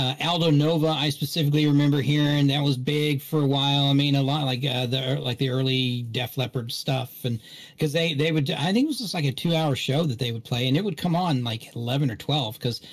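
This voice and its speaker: The speaker has an American accent and a somewhat breathy voice with fairly even intonation. Delivery is fairly quick, with hardly any pauses. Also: man, fairly high pitch for a man. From West Virginia and Augusta, US South. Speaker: podcast panelist. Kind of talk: casual chat. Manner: halting, many fillers.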